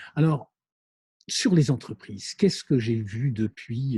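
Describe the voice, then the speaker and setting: His tone is dark, mellow and somewhat breathy. The man speaks at a moderate pace. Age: 60s. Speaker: business school lecturer and consultant. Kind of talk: monologue lecture. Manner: hesitant, many fillers.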